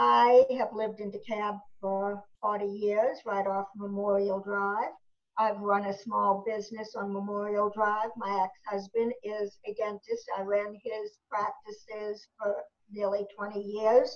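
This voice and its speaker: Someone speaks at a fairly slow pace with a Boston accent. The intonation stays monotone and flat. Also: woman, medium pitch for a woman. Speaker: state legislator. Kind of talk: candidate forum statement.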